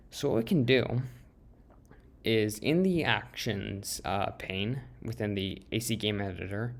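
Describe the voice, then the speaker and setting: A man with a fairly low pitch talks at a fairly slow pace with ordinary pitch variation. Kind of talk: software tutorial narration. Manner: hesitant, many filler words.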